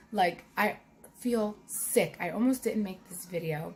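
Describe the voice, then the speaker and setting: Somewhat breathy speech from a woman with an American accent, at a moderate pace with ordinary pitch variation. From Philadelphia. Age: 30s. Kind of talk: casual vlog talk to camera.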